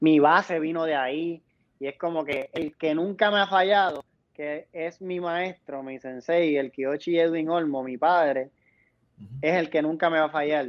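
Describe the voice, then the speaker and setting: At a fairly slow pace, a man with a plain, everyday voice speaks with a fairly high pitch and fairly even intonation. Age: 20s. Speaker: professional wrestler. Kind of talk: interview.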